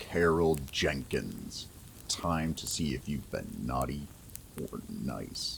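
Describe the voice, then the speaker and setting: Booming and menacing, a man uses a put-on character voice at a very slow pace. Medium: read story. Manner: menacing, judgmental.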